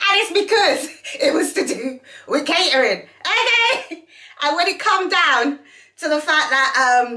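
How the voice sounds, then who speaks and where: In a raised, projected voice, a woman speaks at an extremely high pitch with very wide pitch swings. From Jamaica. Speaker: vlogger with a catering and customer service background. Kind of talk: casual vlog chat. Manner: conversational, frequent fillers.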